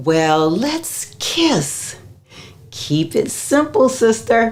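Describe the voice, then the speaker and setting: Over noticeable background noise, a woman with a fairly high pitch speaks at a very slow pace, her pitch swinging very widely. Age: 60s. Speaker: menopause health educator. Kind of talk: vlog-style talk to camera. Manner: casual, conversational.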